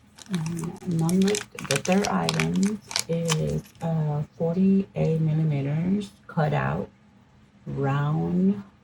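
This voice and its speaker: A woman at a very slow pace, with long, frequent pauses over noticeable background noise. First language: not English. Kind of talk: product unboxing review.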